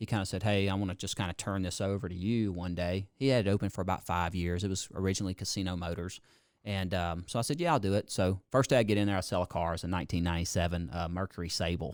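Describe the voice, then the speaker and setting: On a very clean recording with a silent background, a man speaks with a very deep, low pitch. He goes at a very fast pace with hardly any pauses. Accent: Mississippi. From US South, Mississippi (George County). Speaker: car dealership owner. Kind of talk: casual chat. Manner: animated.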